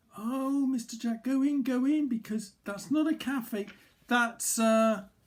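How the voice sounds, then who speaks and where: The speaker uses a put-on character voice that is squeaky and fairly high in pitch. The pace is fairly slow. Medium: read story. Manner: worried, calling after someone.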